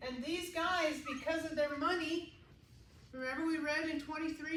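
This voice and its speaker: At a fairly quick pace, a woman speaks in a high pitch with monotone, flat intonation and audible room echo. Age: 60s. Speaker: Bible study teacher. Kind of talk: Bible study group discussion.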